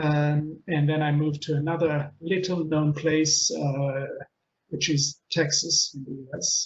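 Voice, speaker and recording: The voice is somewhat breathy, with monotone, flat intonation and a fairly slow pace. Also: man, fairly high pitch for a man. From Israel. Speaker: change consultant and author. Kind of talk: webinar presentation. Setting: online webinar. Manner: many filler words.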